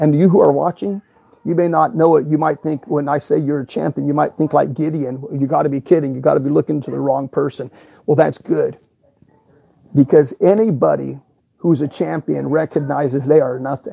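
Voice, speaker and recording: A man with vocal fry and a fairly high voice talks at a fairly quick pace, with ordinary pitch variation. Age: 50s. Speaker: preacher. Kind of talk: sermon. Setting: at home.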